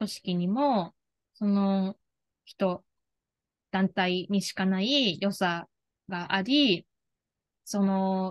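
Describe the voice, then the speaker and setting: A woman talks at a very slow pace with ordinary pitch variation. Her pauses are long and frequent. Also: quiet background. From Japan, Kagawa (Shodoshima island); Japan. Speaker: life career coach; career coach interviewee. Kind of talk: interview. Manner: hesitant, many fillers. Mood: earnest, warm. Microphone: video call.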